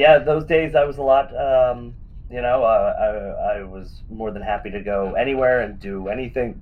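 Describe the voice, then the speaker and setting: At a moderate pace, a man speaks at a medium pitch with ordinary pitch variation and big swings in loudness, with audible room echo. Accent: American. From Western Pennsylvania. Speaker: retired pro wrestler. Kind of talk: interview.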